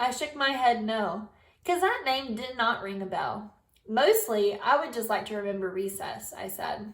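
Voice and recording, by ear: The speaker reads aloud in a natural voice.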